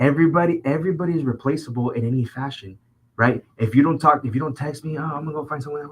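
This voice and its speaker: A man's fairly high, somewhat breathy voice at a very fast pace, animated in tone, with ordinary pitch variation and big swings in loudness. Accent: American. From Southern California (Orange County). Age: 20s. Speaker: podcast host. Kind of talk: casual chat.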